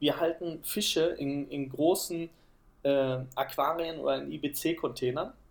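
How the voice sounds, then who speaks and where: A man's fairly high-pitched voice with vocal fry. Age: 30s. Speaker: project manager and nature association founder. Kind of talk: interview.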